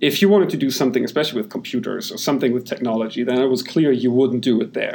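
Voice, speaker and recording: A man with a German accent talks at a very fast pace with hardly any pauses. His medium pitch carries lively intonation. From Germany. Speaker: software company founder. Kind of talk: interview.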